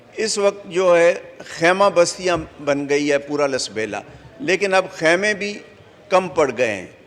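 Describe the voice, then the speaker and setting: The intonation is lively. There is noticeable background noise. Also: man. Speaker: member of parliament. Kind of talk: parliamentary speech in national assembly. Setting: assembly hall.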